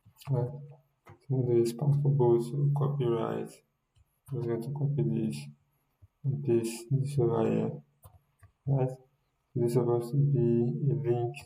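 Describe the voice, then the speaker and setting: Soft-spoken man, somewhat breathy, dark mellow tone, medium pitch, ordinary pitch variation, fairly slow pace, long frequent pauses, audible room echo. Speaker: web development instructor. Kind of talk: coding tutorial. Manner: halting.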